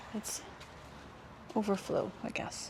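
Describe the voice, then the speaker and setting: Noticeable noise runs behind the woman as she talks. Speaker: lifestyle vlogger. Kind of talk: casual vlog narration to camera. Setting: outdoors in public gardens. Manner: animated.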